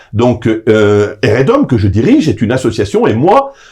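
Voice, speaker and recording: Somewhat breathy and dark, mellow in tone, a man talks at a fairly slow pace at medium pitch, his voice making very wide pitch swings. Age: 60s. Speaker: association president and political lobbyist. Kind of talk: interview. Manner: hesitant, many filler sounds.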